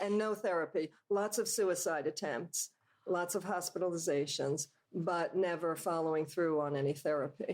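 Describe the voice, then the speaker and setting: A woman's normal speaking voice, fairly low in pitch, at a moderate pace with ordinary pitch variation and very even loudness, on a very clean recording with a silent background. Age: 60s. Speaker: yoga teacher. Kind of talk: interview.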